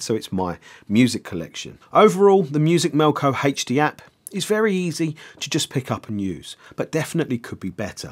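At a moderate pace, a man speaks with a fairly high pitch on a very clean recording with a silent background.

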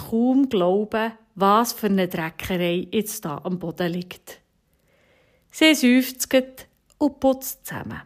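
In a Bernese accent, a woman speaks at a very slow pace. Her pitch is fairly high, with ordinary variation. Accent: Bernese Swiss German. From Switzerland, Bernese Oberland (Steffisburg). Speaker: homemaker and mother telling an encouraging story. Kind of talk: storytelling radio devotional.

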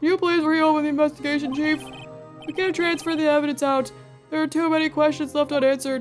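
Over clear background music, a woman puts on a high-pitched character voice and speaks very fast. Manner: earnest, pleading.

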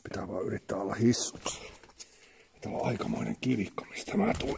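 A man is whispering. He goes at a moderate pace. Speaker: urban explorer. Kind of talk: casual talk to camera while exploring. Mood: tense, excited. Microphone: phone near.

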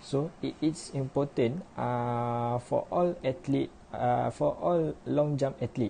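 A man speaks at a very slow pace with hardly any pauses. Light background noise is present. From Malaysia. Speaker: university student; presenter. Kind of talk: class presentation. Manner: halting. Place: home room. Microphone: webcam.

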